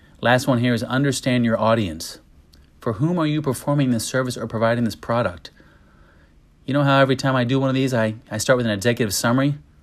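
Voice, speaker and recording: A man's medium-pitched voice at a very fast pace with ordinary pitch variation, in a very clean recording with a silent background. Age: 40s. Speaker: podcast host and business owner. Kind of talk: solo talk reading an article.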